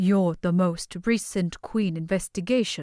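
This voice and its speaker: A woman puts on a rumbling character voice at a medium pitch, speaking fairly slowly with fairly even intonation in a very clean recording against a silent background. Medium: read story.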